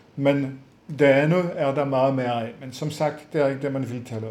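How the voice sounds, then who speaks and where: This man has a fairly high pitch and ordinary pitch variation, talking at a fairly slow pace over noticeable background noise with some room echo. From France. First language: French (speaking Danish). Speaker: psychologist. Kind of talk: webinar lecture. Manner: hesitant with many fillers.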